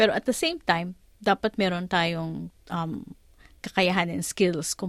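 A woman in a normal speaking voice talks at a moderate pace with a fairly low pitch and fairly even intonation, the sound dry and close with no echo and a quiet background. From Philippines. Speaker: lawyer and career mentor. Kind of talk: interview.

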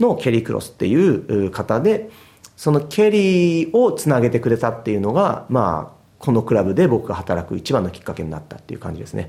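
At a fairly quick pace, a man speaks in a medium-pitched, somewhat breathy voice with a dark, mellow tone, very wide pitch swings and big swings in loudness. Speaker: football goalkeeper coach. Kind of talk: interview.

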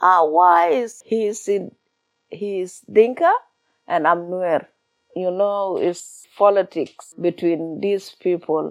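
Speaking with a South Sudanese accent, a woman uses a medium pitch and fairly even intonation. Her pace is very slow. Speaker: refugee storyteller. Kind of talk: interview. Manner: halting, simple English.

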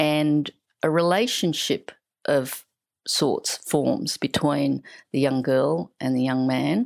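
A woman speaks slowly at a low pitch with vocal fry. Her tone is slightly mellow and her pitch variation ordinary.

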